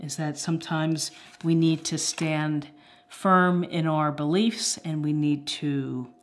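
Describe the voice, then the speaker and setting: A woman's fairly low voice with fairly even intonation. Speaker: tarot reader. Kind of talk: tarot reading commentary. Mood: calm, reflective. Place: home room.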